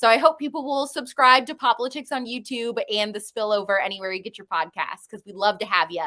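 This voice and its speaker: A woman's very fast speech with a bright, sharp tone and lively intonation. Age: 20s. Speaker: conservative podcast host. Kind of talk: interview.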